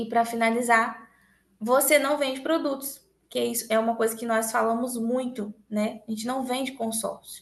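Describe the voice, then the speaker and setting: A woman's fairly high voice in a monotone, flat delivery. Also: moderate pace. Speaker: sales trainer. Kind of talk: motivational training talk. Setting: recorded online meeting.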